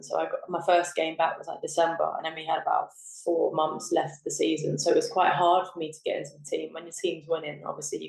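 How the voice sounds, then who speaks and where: The speaker is a woman. She talks with a southern English accent. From southern England. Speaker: professional footballer. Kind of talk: podcast interview. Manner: casual, filler-heavy.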